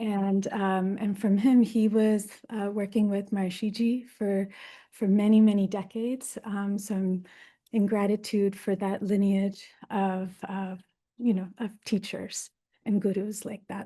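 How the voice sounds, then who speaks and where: In a dark, mellow, somewhat breathy voice of medium pitch, a woman with an American accent speaks fairly slowly with monotone, flat intonation. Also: quiet background. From US East Coast, Baltimore, Maryland. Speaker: Ayurveda teacher. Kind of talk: lecture. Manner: hesitant, many fillers.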